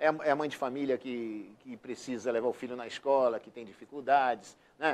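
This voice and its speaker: At a moderate pace, a man speaks with a medium pitch and fairly even intonation, his loudness swinging widely. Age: 60s. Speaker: city councillor. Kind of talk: TV interview. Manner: hesitant, many repetitions.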